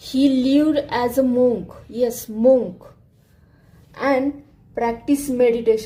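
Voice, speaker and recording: Very slowly and with fairly even intonation, a woman with a non-native accent speaks in a high voice with a dark, mellow tone. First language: not English. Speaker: art tutorial creator. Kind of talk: tutorial narration.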